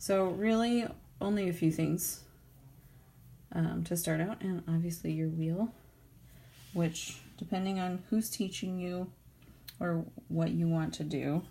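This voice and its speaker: A quiet woman with a fairly low pitch and dark, mellow tone sounds somewhat breathy. She talks at a fairly slow pace with fairly even intonation and long, frequent pauses. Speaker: professional potter. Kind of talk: pottery tutorial talk to camera. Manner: rambling, quiet, low-talking.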